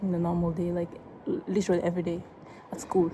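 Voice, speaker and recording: A woman's medium-pitched voice with an Ivorian accent. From Ivory Coast. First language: French. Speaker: vlogger. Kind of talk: casual vlog talk. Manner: halting, with many fillers.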